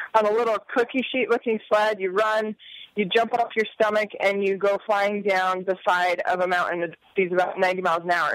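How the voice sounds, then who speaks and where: A woman talks at a moderate pace with fairly even intonation, the sound dry with no echo against a quiet background. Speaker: guest. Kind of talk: interview answer.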